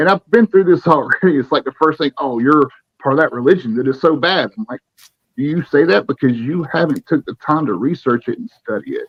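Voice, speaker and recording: With an American accent, a man speaks at a fairly high pitch with lively intonation. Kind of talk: casual interview chat.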